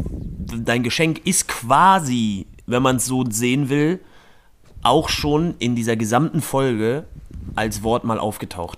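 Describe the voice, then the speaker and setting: A man at medium pitch, very slow pace and ordinary pitch variation. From northern Germany, Rostock. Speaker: podcast host. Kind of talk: casual chat.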